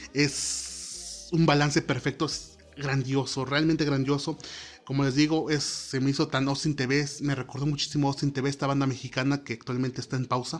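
The speaker talks at a moderate pace with a monotone, flat intonation. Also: man, fairly high pitch for a man. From Mexico, Oaxaca. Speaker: podcast host, student. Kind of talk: solo podcast monologue. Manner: hesitant, many fillers.

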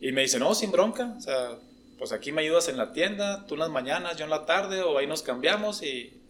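Music plays in the background while a man with a northern Mexican accent talks at a moderate pace. His pitch is high and his intonation lively. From Mexico, Coahuila. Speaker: engineer. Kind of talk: casual chat. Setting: drinking beers at a podcast session.

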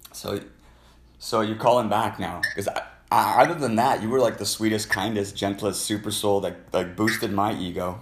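Fairly low-pitched male voice, a normal speaking voice, with fairly even intonation and a moderate pace. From Canada. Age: 50s. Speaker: podcast host taking live callers. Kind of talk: casual live call-in chat. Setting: live stream on TikTok and Instagram.

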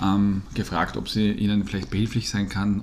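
A man's fairly low voice with vocal fry at a moderate pace. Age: 40s. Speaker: podcast co-host. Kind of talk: casual chat.

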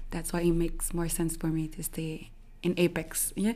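A woman with a Quebec accent speaks at a moderate pace with fairly even intonation. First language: French. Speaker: social media creator. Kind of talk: interview. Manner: halting, many fillers.

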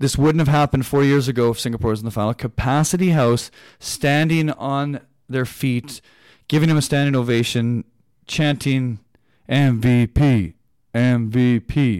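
A man's unremarkable speaking voice with a Canadian accent, medium in pitch with ordinary pitch variation and very even loudness, on a very clean recording with a silent background. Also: moderate pace. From Canada. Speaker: basketball podcast host. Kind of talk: solo sports podcast analysis. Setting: studio.

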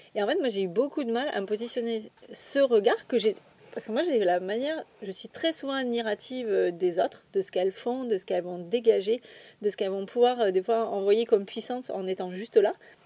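A woman talks in a plain, everyday voice, fairly high-pitched, with ordinary pitch variation. Her pace is fairly quick and her loudness swings widely. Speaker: astrology coach. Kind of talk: casual chat. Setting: outdoors.

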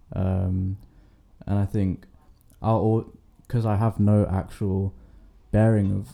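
A man with a London accent, fairly low-pitched and monotone, flat in intonation. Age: young. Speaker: university student. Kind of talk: casual chat.

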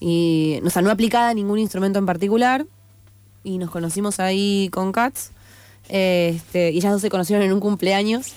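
A woman's medium-pitched voice carries ordinary pitch variation at a moderate pace. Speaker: singer-songwriter and producer. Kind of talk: radio interview. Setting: radio studio. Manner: halting, many fillers.

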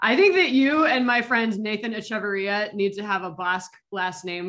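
Her voice is an unremarkable speaking voice. The woman talks at a moderate pace with ordinary pitch variation. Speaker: interviewer. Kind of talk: casual interview.

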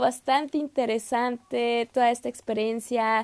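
A woman with a fairly high pitch speaks in a dry, close sound with no echo. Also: very clean recording, silent background. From Mexico, Saltillo. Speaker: podcast host, exchange student. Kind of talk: solo podcast monologue. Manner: hesitant, many fillers.

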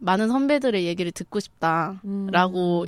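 In a normal speaking voice, a woman talks at a medium pitch with ordinary pitch variation, with a dry, close sound with no echo on a very clean recording with a silent background. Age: 20s. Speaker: documentary film director. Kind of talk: casual chat.

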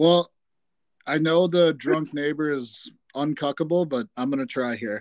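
A man talks at a fairly slow pace in a fairly high pitch with ordinary pitch variation, a normal speaking voice. The sound is dry and close with no echo, over a quiet background. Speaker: sports podcast co-host. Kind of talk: casual sports chat.

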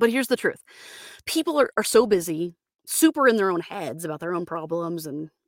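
In a dry, close recording with no echo, a woman with a normal speaking voice talks fairly quickly at a medium pitch. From Florida, US. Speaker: voice actor. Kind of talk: solo podcast monologue, casual. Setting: home studio booth, sound-deadened. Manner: casual with frequent fillers.

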